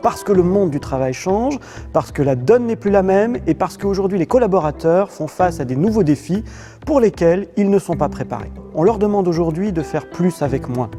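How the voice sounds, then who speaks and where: Lively intonation and a fairly quick pace carry this voice over music in the background. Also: man, high pitch for a man. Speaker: company executive; author and speaker. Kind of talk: corporate video speech. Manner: stiff, unsmiling.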